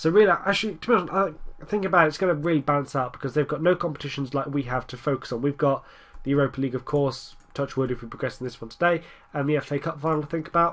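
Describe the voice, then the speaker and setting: A man with an English accent, fairly high in pitch, at a very fast pace with ordinary pitch variation. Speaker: gaming commentator. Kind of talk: gameplay commentary. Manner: casual, rambling.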